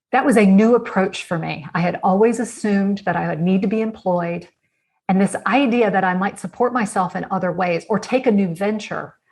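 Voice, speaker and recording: A woman with an American accent, somewhat breathy, at a fairly quick pace with ordinary pitch variation. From United States. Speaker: author and innovation consultant. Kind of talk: interview answer.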